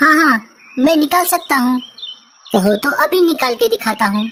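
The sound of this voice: Using a cartoonish character voice, a woman speaks at a high pitch and a moderate pace.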